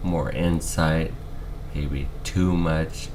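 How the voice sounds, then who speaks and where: A man's very slow speech with ordinary pitch variation, noticeable background noise and audible room echo. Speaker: video blogger with ALS. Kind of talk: personal health update vlog.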